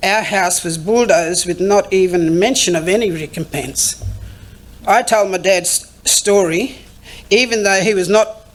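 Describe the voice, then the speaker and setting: A woman with a medium pitch keeps ordinary pitch variation and a moderate pace despite noticeable background noise. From Queensland, Australia. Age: 60s. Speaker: keynote speaker, consumer advocate. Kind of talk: speech. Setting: conference stage.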